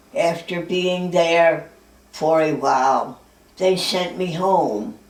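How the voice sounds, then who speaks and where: A woman's fairly low voice at a very slow pace, with ordinary pitch variation, noticeable background noise and audible room echo. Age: 80s+. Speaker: centenarian telling her life story. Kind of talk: memoir, reading from her own notes.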